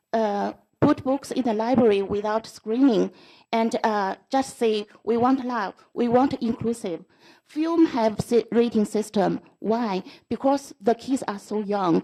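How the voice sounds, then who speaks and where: A woman's fairly high voice with a dark, mellow tone, a non-native accent, ordinary pitch variation and a fairly slow pace, over a quiet background. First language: not English. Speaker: school board trustee. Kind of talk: board meeting debate. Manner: halting.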